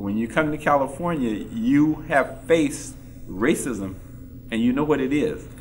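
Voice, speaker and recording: With lively intonation, a man talks in a room whose echo is audible. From Texas. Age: 60s. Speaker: civil rights era witness. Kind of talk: panel discussion. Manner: halting, repeats words.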